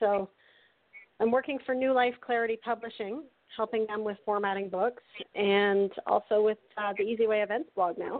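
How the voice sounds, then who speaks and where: An ordinary speaking voice from a woman, fairly high in pitch, with fairly even intonation at a moderate pace. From Canada. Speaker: happiness coach and author. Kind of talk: interview.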